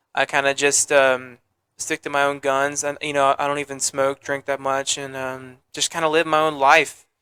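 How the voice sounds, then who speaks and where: Dry and close with no echo, a man's fairly high, bright, sharp voice holds a monotone, flat intonation at a moderate pace. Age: young. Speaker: podcast guest, former musical theater performer. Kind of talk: casual interview chat. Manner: hesitant, many fillers.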